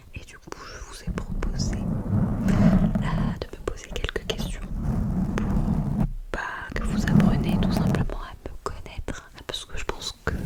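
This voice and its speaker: A woman's relaxed whispering at a very slow pace, with big swings in loudness and noticeable background noise. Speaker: ASMR content creator. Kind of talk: ASMR Q&A to camera. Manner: soft, relaxed.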